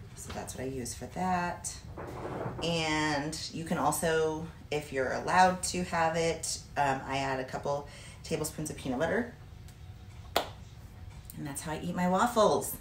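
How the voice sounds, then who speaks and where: A woman's very deep, low voice at a fairly slow pace, with ordinary pitch variation, long, frequent pauses and big swings in loudness, amid noticeable background noise and audible room echo. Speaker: fitness vlogger, bodybuilder. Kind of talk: cooking tutorial. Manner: casual, chatty.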